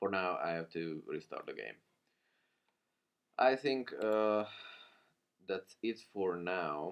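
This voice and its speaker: Speaking with a non-native accent, a man goes at a very slow pace with long, frequent pauses. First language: not English. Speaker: programming tutorial creator. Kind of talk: tutorial. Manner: halting.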